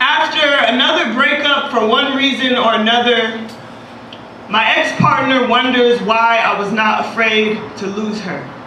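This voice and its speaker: A high-pitched woman with an American accent at a fairly slow pace, ordinary pitch variation, and noticeable background noise. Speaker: spoken word poet. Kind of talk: spoken word poetry performance.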